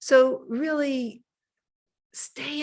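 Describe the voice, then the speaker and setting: A woman's somewhat breathy voice. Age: 60s. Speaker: mindfulness teacher. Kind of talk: lecture.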